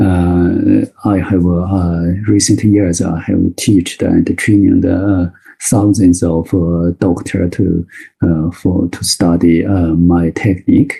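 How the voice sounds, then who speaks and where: Speaking very slowly with a Chinese accent, a man uses a very deep, low pitch, a dark, mellow tone, fairly even intonation and a somewhat breathy sound. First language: Mandarin Chinese. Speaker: Chinese medicine doctor and teacher. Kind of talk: webinar lecture. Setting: online webinar. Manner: halting, many fillers.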